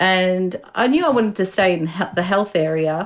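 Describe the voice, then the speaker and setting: Someone with an Australian accent speaks at a fairly quick pace in a very clean recording with a silent background. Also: woman. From Chile, raised in Melbourne from age five. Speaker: health organisation manager, scientist. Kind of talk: interview.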